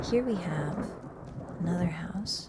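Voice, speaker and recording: Against noticeable background noise, a soft-spoken woman talks in a relaxed tone at a medium pitch. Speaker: VTuber who streams games and makes ASMR videos. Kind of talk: ASMR game tour with lore commentary. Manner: soft-spoken, relaxed, cozy.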